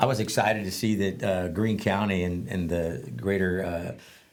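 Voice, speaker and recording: A man speaks at a moderate pace with a fairly low pitch and ordinary pitch variation, and audible echo fills the room. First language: Spanish. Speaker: veteran advocate and former probation officer. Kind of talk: interview storytelling. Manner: halting, many fillers.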